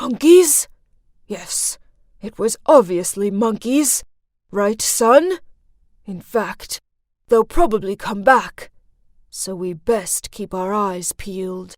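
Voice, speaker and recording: In a cartoonish character voice with a fairly high pitch, the speaker goes very slowly, leaving long, frequent pauses. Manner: gruff, impatient.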